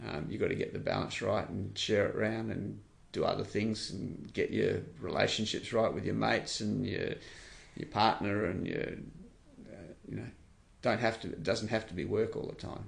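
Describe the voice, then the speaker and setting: A man with an Australian accent is heard with audible room echo. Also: moderate pace. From Western Australia. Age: 60s. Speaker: charity CEO. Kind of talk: interview.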